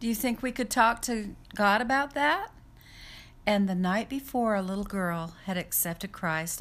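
Speaking with an American accent and a normal speaking voice, a woman uses lively intonation at a medium pitch and a moderate pace. The recording is very clean, with a silent background. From Utah and Idaho, US. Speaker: home health caregiver. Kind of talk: testimony.

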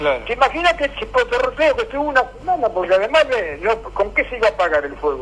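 The speech runs at a fairly quick pace with hardly any pauses, over noticeable background noise. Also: man. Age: old. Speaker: local historian and radio collaborator. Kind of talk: casual radio chat and reminiscence. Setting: radio program.

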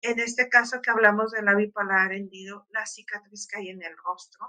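At a fairly slow pace, a woman with a fairly high pitch and a bright, sharp tone talks with ordinary pitch variation. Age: adult. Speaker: radio host. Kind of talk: casual chat.

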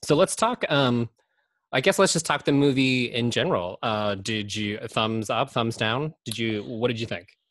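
An unremarkable speaking voice moves at a moderate pace with lively intonation. The background is quiet. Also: man, medium pitch for a man. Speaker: podcast host. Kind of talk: casual chat.

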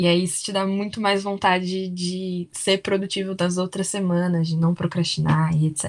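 Fairly even intonation at a moderate pace comes through on a very clean recording with a silent background. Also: woman. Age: 20s. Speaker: university student. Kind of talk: casual chat.

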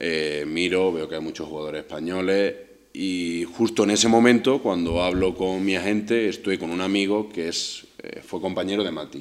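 Hardly pausing, a man with a very deep, low pitch speaks at a moderate pace with ordinary pitch variation. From Spain, village near Córdoba, Andalusia. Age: 30s. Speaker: professional footballer. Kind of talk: personal storytelling monologue. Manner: hesitant, with fillers and repetitions.

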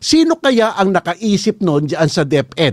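Very slow speech with very wide pitch swings, recorded with a dry, close sound and no echo. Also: man. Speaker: lawyer and podcast host. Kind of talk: political commentary podcast. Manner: animated.

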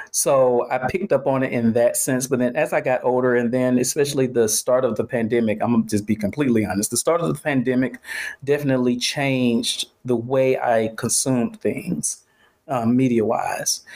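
A plain, everyday voice with an American accent moves at a fairly quick pace with ordinary pitch variation. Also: man, medium pitch for a man. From Atlanta, US South. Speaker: studio owner. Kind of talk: casual chat. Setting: remote call.

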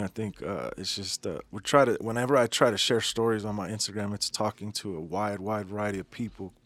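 A man with an American accent talks at a very fast pace with hardly any pauses, his pitch fairly low and his intonation fairly even. The sound is dry and close with no echo, on a very clean recording with a silent background. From Denver, Colorado. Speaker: tattoo business owner. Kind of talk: interview. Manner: casual, halting.

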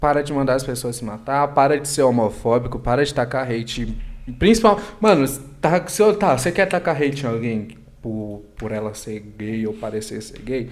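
A man's voice with very wide pitch swings and big swings in loudness. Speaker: comedian. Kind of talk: casual chat. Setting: livestream.

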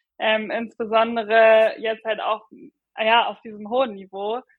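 Her pitch fairly high, a woman speaks fairly slowly in a monotone, flat delivery. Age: 20s. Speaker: middle-distance runner. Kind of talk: casual interview.

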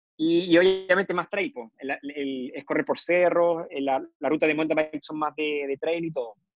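A man with a fairly high voice and a Chilean accent, at a moderate pace with fairly even intonation, in a dry, close sound with no echo. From southern Chile, Temuco. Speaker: doctor and amateur triathlete. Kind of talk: interview. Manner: halting.

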